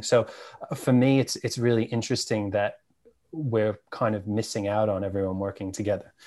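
Against a quiet background, a man with a New York accent speaks at a moderate pace and medium pitch. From New York, Staten Island. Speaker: cannabis media founder. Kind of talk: casual interview chat.

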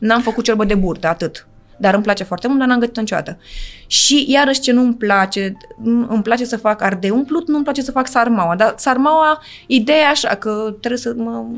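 A woman talks at a fairly quick pace. Her pitch is fairly high, with ordinary pitch variation. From Galați, eastern Romania (Moldavia). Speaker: actress. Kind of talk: casual chat. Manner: fast.

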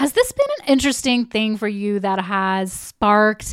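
A woman with a fairly high pitch and an unremarkable speaking voice talks at a fairly slow pace with ordinary pitch variation. The recording is very clean, with a silent background. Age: 40s. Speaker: podcast host. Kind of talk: solo podcast teaching.

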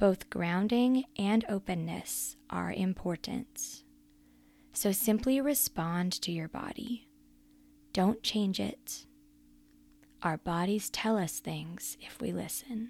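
At a very slow pace, a woman speaks with a calm, gentle tone, medium pitch, ordinary pitch variation and long, frequent pauses, in a very clean recording with a silent background. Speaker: prayer guide and coach. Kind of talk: guided prayer and meditation. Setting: solo recorded podcast. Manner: slow, calm, gentle; soothing, inviting, warm.

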